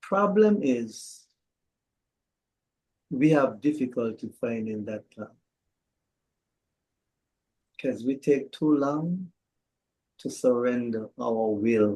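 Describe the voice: A man speaks slowly at a medium pitch, his intonation lively and his tone slightly mellow, with long, frequent pauses.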